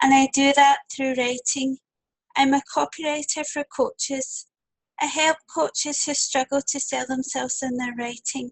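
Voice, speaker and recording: A woman with a Scottish accent speaks at a fairly slow pace in a high pitch. Her intonation stays fairly even. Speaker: copywriter for coaches. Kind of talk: webinar presentation. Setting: webinar.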